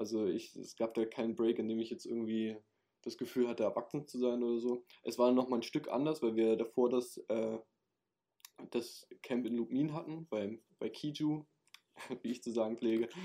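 A man talks at a moderate pace. His tone is dark and mellow. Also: medium pitch for a man, fairly even intonation. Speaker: camp counselor, former camp participant. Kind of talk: casual chat. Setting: recorded at home.

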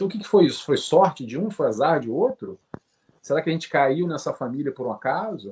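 A fairly high-pitched man talks at a fairly quick pace with vocal fry and very wide pitch swings. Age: 40s. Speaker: spiritist study group leader. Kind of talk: casual chat.

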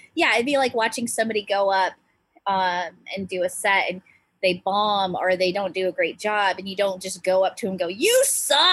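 A woman's ordinary speaking voice with an American accent, medium in pitch, moderate in pace and with ordinary pitch variation. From US Pacific Northwest, small island town near Seattle. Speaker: stand-up comedian. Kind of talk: casual chat.

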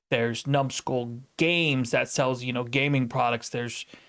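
A normal speaking voice from a man with an American accent, medium pitch and a moderate pace, on a very clean recording with a silent background. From United States. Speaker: podcast host and streamer. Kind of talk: casual chat.

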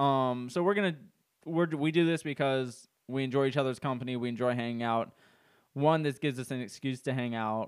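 Using a normal speaking voice, a man speaks at a fairly quick pace with medium pitch and ordinary pitch variation. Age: 20s. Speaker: podcast co-host. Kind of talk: casual chat.

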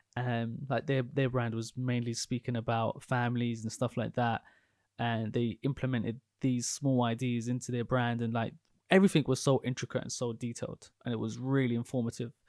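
A man speaks at a moderate pace in a flat monotone, the sound dry and close with no echo. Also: medium pitch for a man. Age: 20s. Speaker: podcast host, property investor. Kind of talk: casual interview chat.

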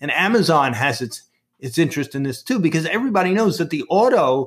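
Over a very clean recording with a silent background, a man speaks at a moderate pace with very wide pitch swings. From Brooklyn, New York. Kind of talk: interview explanation.

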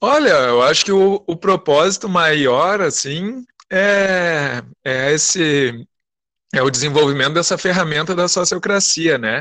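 Speaking very slowly, a man with a fairly high pitch uses lively intonation and a bright, sharp tone. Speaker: storytelling circle representative. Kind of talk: casual interview. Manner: drawling.

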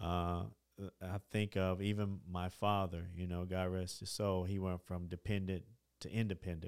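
Speaking in a Middle Tennessee accent, a man has a very deep, low pitch and monotone, flat intonation. The sound is dry and close with no echo. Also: very clean recording, silent background. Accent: Southern US (Middle Tennessee). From Tennessee, Dickson County. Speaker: community organization leader. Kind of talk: interview. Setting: studio.

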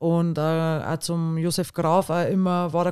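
Dry and close with no echo, a woman's fairly low, dark and mellow voice comes through in a very clean recording with a silent background. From Bavaria, Pfaffenhofen. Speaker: women's football department head. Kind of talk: casual chat. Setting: studio.

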